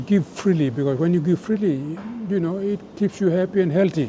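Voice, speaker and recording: A man's voice amid noticeable background noise. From Papua New Guinea. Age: 70s. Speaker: former rugby league captain. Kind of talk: interview.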